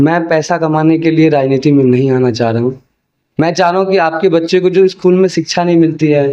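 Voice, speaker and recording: A man talks in a normal speaking voice, fairly high in pitch, with ordinary pitch variation. His pace is moderate and his loudness very even. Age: 20s. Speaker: political candidate. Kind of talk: interview.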